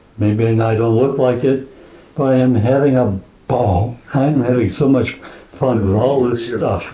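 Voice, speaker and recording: Over noticeable background noise and audible room echo, a man speaks at a moderate pace with a medium pitch. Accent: American. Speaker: woodturning club member. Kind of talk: show and tell presentation.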